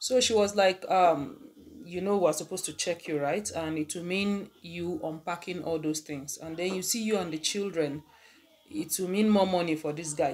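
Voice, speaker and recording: Ordinary variation in pitch, delivered at a moderate pace. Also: woman. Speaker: vlogger. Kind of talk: casual vlog chat, storytelling. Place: home room. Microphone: phone near.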